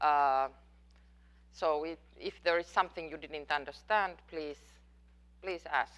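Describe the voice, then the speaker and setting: A woman with a non-native accent speaks at a fairly slow pace in a very deep, low pitch, with fairly even intonation. Her loudness swings widely, and she leaves long, frequent pauses. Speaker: professor. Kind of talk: lecture Q&A. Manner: halting.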